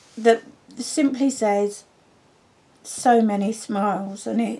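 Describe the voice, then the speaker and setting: In a southern English accent, a woman speaks at a medium pitch with a dark, mellow, somewhat breathy tone and fairly even intonation. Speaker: papercraft demonstrator. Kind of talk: tutorial.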